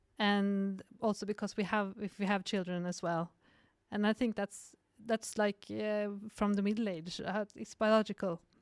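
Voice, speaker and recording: Monotone, flat delivery at a moderate pace, with a dry, close sound, no echo and a silent background on a very clean recording. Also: woman, medium pitch for a woman. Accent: Norwegian. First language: Norwegian. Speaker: cinematographer and film director. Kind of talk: podcast interview. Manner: halting.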